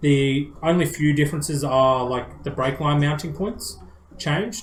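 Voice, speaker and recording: A man with an Australian accent speaks at a fairly high pitch and a fairly slow pace. His pitch variation is ordinary, and there is noticeable background noise. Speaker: car enthusiast podcast co-host. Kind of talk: casual chat. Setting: live stream.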